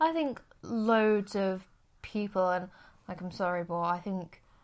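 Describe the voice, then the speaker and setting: A woman's voice shows ordinary pitch variation on a very clean recording where the background is silent. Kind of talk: casual podcast conversation.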